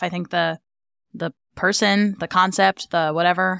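This woman has a fairly low voice. The recording is dry and close, with no echo. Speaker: podcast co-host. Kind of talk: casual chat. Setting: remote recording session. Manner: relaxed, not her usual host voice.

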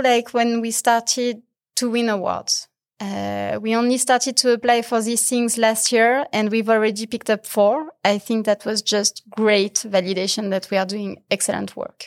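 Using an ordinary speaking voice, a woman speaks at a fairly high pitch and fairly slow pace with fairly even intonation. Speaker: CEO and co-founder. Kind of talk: casual interview chat.

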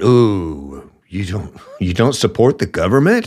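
A man with an American accent talks in an animated tone with lively intonation. His medium-pitched voice carries vocal fry. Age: 50s. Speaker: political commentary podcast host. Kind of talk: opinionated political monologue. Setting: studio microphone.

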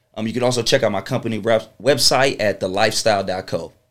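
A man with an American accent, a normal speaking voice, talks at a fairly quick pace with fairly even intonation. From Chesapeake, Virginia (Hampton Roads). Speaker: event promoter and entrepreneur. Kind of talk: casual interview.

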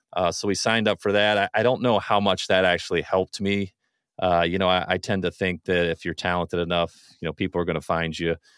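Very fast and very deep, a man's voice carries an American accent and fairly even intonation. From Ohio. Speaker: former college quarterback. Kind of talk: interview.

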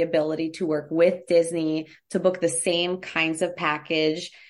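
A plain, everyday voice with an American accent, fairly even intonation and a moderate pace, against a quiet background. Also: woman. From United States. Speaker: travel agent. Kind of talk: casual chat.

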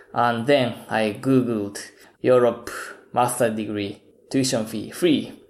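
Amid audible room echo, a man with a Japanese accent speaks very slowly in a medium pitch with fairly even intonation. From Japan, Kyoto. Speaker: film podcast guest. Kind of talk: casual chat.

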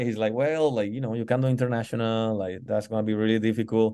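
A man speaks with a Spanish accent at a medium pitch. The background is quiet. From Colombia, Pacific coast (Tumaco). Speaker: football goalkeeping coach. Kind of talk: interview. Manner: halting, many fillers.

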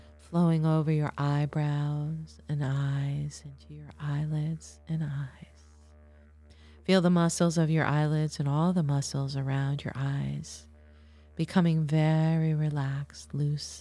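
Over music in the background, the speech moves at a very slow pace with fairly even intonation and big swings in loudness. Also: woman. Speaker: podcast host and guided meditation leader; astrologer and hypnotherapist. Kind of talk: guided meditation; educational talk then guided meditation. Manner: slow, soft, soothing and hypnotic with long pauses; calm, gentle, measured pacing.

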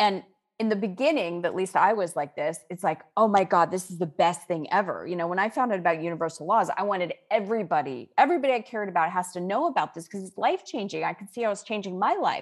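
A woman with a medium pitch talks at a very fast pace with hardly any pauses. Her loudness swings widely, and her pitch varies in an ordinary way. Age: 50s. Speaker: author and spiritual teacher. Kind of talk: interview.

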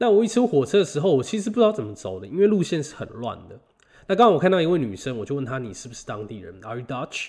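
A man's fairly high voice with vocal fry, very wide pitch swings and a very fast pace. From Taiwan. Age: 20s. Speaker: podcast host. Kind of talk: casual solo monologue. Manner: halting, many fillers and repetitions.

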